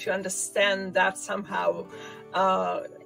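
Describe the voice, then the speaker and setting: A woman talks with ordinary pitch variation. Music plays in the background. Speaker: interviewer, livestream host. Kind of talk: livestream interview conversation.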